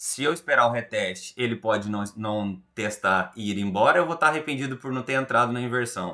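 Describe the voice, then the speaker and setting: A man with a bright, sharp tone and medium pitch talks at a fairly quick pace. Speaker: trading instructor. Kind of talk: group study session. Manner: fast.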